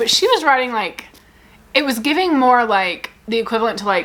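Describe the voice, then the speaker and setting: The speech moves at a very fast pace. Its tone is animated. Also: woman. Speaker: book content creator. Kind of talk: casual chat.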